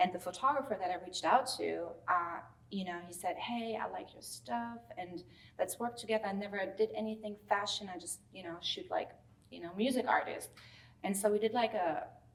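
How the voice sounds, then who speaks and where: Lively intonation marks a woman speaking with a strong German accent. Noticeable background noise runs underneath. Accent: thick German. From Germany. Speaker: celebrity stylist. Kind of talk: interview. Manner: casual, many fillers.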